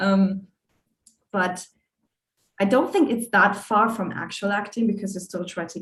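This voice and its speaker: A woman talks at a moderate pace with a medium pitch. Her voice is somewhat breathy, with ordinary pitch variation. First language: not English. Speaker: animator. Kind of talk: panel discussion. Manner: halting.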